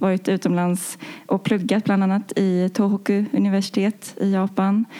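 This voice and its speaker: Medium in pitch with a dark, mellow tone, a woman's voice moves at a moderate pace with fairly even intonation. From Sweden, Stockholm. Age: 20s. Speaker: engineer. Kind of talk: interview. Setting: studio. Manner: halting.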